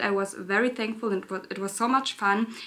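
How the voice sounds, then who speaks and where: The speaker has a German accent, ordinary pitch variation and a bright, sharp tone. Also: woman. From Germany, Berlin. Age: 20s. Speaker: beauty YouTuber. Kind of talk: casual chat. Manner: halting.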